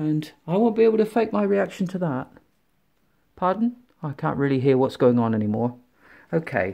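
A man with a fairly high voice talks at a moderate pace, swinging his pitch very widely and leaving long, frequent pauses against a quiet background. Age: 50s. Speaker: tech reviewer. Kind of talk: product unboxing review. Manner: casual, halting with fillers. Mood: enthusiastic, chatty. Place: home room. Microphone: phone near.

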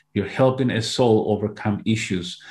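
A man's medium-pitched, somewhat breathy voice with a Spanish accent, ordinary pitch variation and a moderate pace. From Peru. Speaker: hypnotherapist and hypnosis teacher; hypnosis teacher. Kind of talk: interview. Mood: warm, earnest. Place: home room. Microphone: earbuds.

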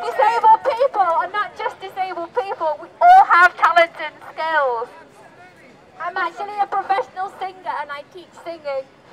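A woman speaks at a moderate pace with an extremely high pitch and lively intonation. Her loudness swings widely, and crowd noise runs in the background. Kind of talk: protest speech. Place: street. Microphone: camera far.

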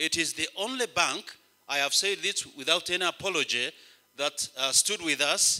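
A man's bright, sharp tone at a moderate pace, with a quiet background. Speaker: bishop preaching. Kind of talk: sermon. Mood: warm, grateful. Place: church. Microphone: handheld.

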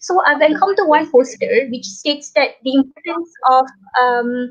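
Over a quiet background, a woman speaks at a high pitch and a moderate pace with lively intonation. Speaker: online show host. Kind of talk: interview. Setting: hotel room, online call. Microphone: bad internet connection; video call.

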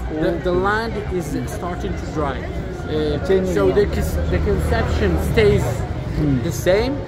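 A man's fairly slow speech over loud music in the background. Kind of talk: casual conversation. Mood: thoughtful, concerned. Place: street. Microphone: phone near.

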